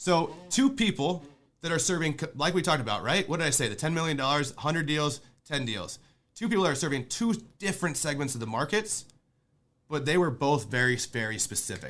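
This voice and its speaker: A man with a fairly high pitch, vocal fry and a bright, sharp tone talks at a fairly quick pace with lively intonation. He leaves long, frequent pauses, and the recording is very clean with a silent background. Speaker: real estate investor and podcast host. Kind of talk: sales training lecture. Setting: conference call. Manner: fast; animated.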